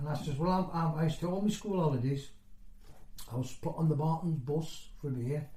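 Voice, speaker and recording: Audible room echo surrounds a man speaking in a fairly high pitch. He keeps a moderate pace and fairly even intonation. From northeast England (County Durham), moved to Nottinghamshire at seven. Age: 60s. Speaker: former mining community resident. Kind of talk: oral history interview. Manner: conversational, hesitant with fillers.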